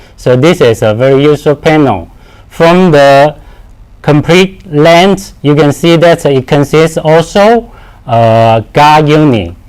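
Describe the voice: Slow and with lively intonation, a man speaks at a fairly high pitch in a clear, smooth, slightly mellow tone.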